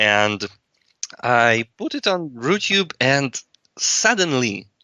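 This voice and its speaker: In a Russian accent, a man talks at medium pitch with lively intonation. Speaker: video blogger. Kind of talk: casual chat. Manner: halting.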